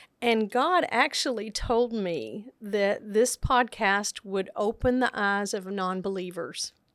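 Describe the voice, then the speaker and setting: A woman with an American accent speaks at a very slow pace, her pitch medium and its variation ordinary. The recording is very clean, with a silent background. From Texas, Central Texas. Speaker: nurse educator and podcaster. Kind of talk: interview conversation.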